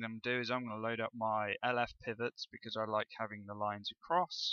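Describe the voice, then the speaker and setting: A man with a West Country accent has a bright, sharp tone against a quiet background. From West Country, England. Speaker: forex trading educator. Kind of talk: tutorial. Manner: casual, hesitant with fillers.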